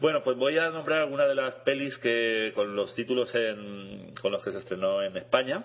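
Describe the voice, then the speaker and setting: Man with an ordinary speaking voice, medium pitch, ordinary pitch variation, moderate pace, and hardly any pauses. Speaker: chess radio co-host, international master. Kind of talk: casual radio chat. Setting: radio studio.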